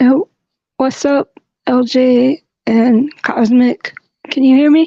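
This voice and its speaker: Her voice high-pitched yet dark and mellow in tone, a woman speaks at a very slow pace with long, frequent pauses, very even loudness and fairly even intonation. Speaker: caller. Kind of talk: personal testimony. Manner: halting, many repetitions.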